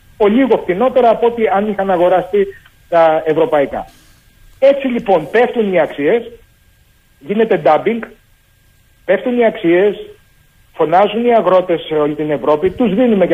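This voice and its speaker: A man with a high pitch speaks at a moderate pace with lively intonation. He takes long, frequent pauses. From Greece, Argolida (Peloponnese). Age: 60s. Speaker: farmer and cooperative president. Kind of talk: radio interview.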